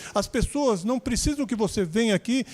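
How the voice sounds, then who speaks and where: A man talks with lively intonation in a dry, close sound with no echo. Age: 60s. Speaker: preacher. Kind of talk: testimony. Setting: church service, livestream.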